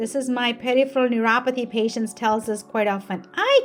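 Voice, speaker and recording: Over music in the background, a woman speaks at a moderate pace with a high pitch. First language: not English. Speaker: physical therapist. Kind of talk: educational talk. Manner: animated.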